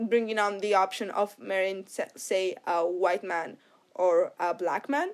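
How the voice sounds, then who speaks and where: In a very clean recording with a silent background, a woman speaks at a very slow pace with ordinary pitch variation. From Morocco. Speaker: podcast host. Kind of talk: casual chat.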